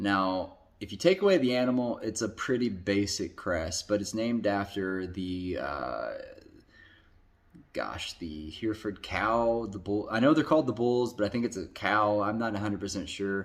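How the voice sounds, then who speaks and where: On a very clean recording with a silent background, an ordinary speaking voice carries ordinary pitch variation at a moderate pace. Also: man, fairly low pitch for a man. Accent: American. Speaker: football YouTuber. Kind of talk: casual commentary ranking video. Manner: casual, filler-heavy.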